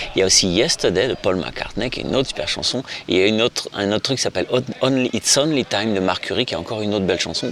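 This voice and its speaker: A man at a very fast pace with ordinary pitch variation over noticeable background noise. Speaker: guitar teacher. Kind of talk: tutorial. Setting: outdoors in Spain. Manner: casual, hesitant.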